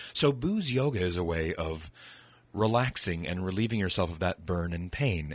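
A man with an American accent speaks in a plain, everyday voice with lively intonation. The recording is very clean, with a silent background. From Northern California, Sonoma County. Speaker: distillery hospitality coordinator. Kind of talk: casual chat.

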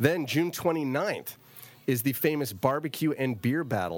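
In a very clean recording with a silent background, a man talks at a moderate pace with ordinary pitch variation in a normal speaking voice. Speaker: radio host and winemaker. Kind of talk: casual radio interview. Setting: radio studio.

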